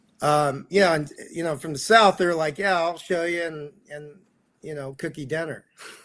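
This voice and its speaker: On a very clean recording with a silent background, a man with a normal speaking voice and fairly high pitch speaks at a moderate pace, his intonation fairly even but his loudness swinging widely. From Texas. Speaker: actor and pickleball coach. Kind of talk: interview.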